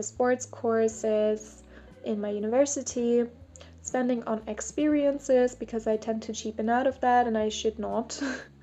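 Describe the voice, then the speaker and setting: Music plays in the background as the speaker proceeds at a fairly slow pace. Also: woman. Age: 20s. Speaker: student and lifestyle vlogger. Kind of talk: casual vlog talk.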